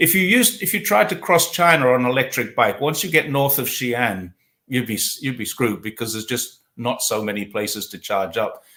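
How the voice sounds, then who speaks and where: On a very clean recording with a silent background, a man with an English accent speaks at a fairly quick pace with hardly any pauses, his tone bright and sharp and his intonation lively. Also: medium pitch for a man. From England. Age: 60s. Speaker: talk show host. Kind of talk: casual interview. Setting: livestream.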